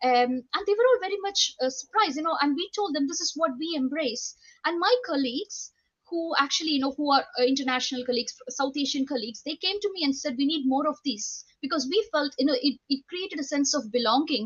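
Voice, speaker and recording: A woman at a very fast pace, high-pitched, with lively intonation. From India. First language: Indian language (mother tongue). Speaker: nurse educator, university lecturer. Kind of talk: panel talk, personal story. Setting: video call. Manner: halting, many fillers.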